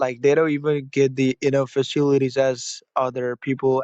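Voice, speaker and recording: A man with a fairly high pitch talks at a moderate pace in a monotone, flat voice, recorded with a dry, close sound and no echo. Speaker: caller. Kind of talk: casual chat. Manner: halting.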